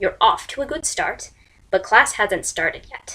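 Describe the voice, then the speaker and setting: Using a put-on character voice, a woman growls at a moderate pace in a fairly high pitch. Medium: read story. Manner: snarling, growling.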